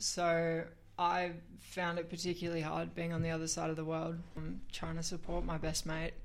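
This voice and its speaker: A woman in an Australian accent, monotone and flat, at a moderate pace. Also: fairly low pitch for a woman. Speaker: fundraiser. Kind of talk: casual chat. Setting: radio studio.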